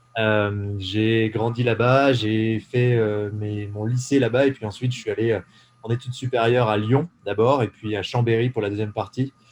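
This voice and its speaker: The man's intonation stays monotone and flat. He talks at a medium pitch and a moderate pace. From eastern France (Ain, Jura mountains). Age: 20s. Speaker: entrepreneur. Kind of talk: casual interview. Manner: hesitant, many fillers.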